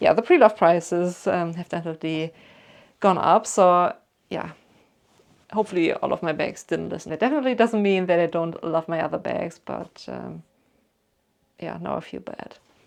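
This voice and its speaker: A woman with a slight German accent, moderate pace, big swings in loudness, and long, frequent pauses. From Germany. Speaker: YouTuber. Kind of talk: casual Q&A chat. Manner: chatty, many fillers.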